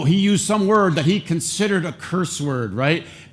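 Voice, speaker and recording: With an American accent, the speaker sounds animated, using ordinary pitch variation, and audible room echo surrounds the voice. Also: man. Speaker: pastor. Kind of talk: sermon. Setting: church with congregation. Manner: conversational, animated.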